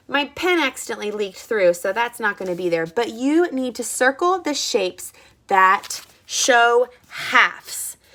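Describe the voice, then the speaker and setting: In a raised, projected voice, a woman speaks at a moderate pace with very wide pitch swings. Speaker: first grade teacher. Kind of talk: online lesson for young children. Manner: animated.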